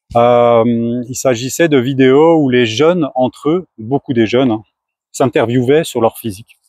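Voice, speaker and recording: A man's voice at a fairly slow pace with ordinary pitch variation. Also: medium pitch for a man. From France. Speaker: startup founder. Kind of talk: casual talk to camera.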